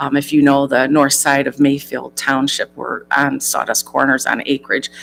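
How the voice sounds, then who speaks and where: A woman speaks in an American accent with a very deep, low pitch and monotone, flat intonation. She keeps a moderate pace over music in the background. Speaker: job candidate, former village treasurer. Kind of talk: job interview.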